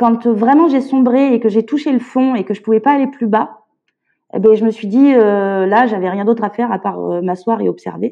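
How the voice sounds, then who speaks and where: Moderate-paced speech from a woman, fairly high in pitch, with ordinary pitch variation. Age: 30s. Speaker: illustrator and parent carer. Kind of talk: testimony. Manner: halting.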